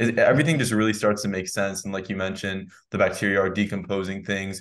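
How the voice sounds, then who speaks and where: In an American accent, a man talks at a fairly quick pace and fairly low pitch against a quiet background. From United States. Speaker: podcast host. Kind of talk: interview. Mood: friendly, enthusiastic. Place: home room. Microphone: studio mic.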